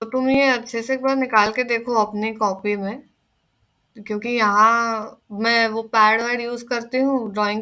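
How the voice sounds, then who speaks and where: On a very clean recording with a silent background, a woman speaks with a bright, sharp tone. Her pitch is fairly high and her intonation is fairly even. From Maharashtra, India. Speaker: teaching assistant. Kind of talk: tutorial. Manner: conversational, explanatory.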